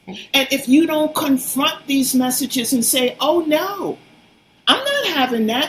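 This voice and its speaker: A woman's high-pitched voice at a fairly slow pace, with ordinary pitch variation and noticeable background noise. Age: 70s. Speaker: fitness advocate. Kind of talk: interview. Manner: animated.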